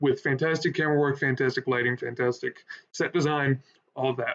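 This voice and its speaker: Loud and animated in tone, the speaker keeps a moderate pace. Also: man. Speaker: streamer reacting to wrestling video. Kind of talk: live stream reaction commentary. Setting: live stream. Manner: loud, animated.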